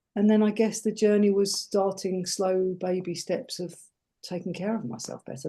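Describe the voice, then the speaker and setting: A woman with an English accent, a dark, mellow tone and medium pitch, at a moderate pace with ordinary pitch variation. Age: 60s. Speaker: life coach and former nurse. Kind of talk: interview.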